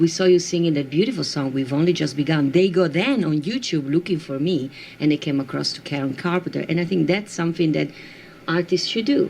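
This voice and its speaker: Someone with an Italian accent talks at a very fast pace over noticeable background noise. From Italy. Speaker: singer. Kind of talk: radio interview.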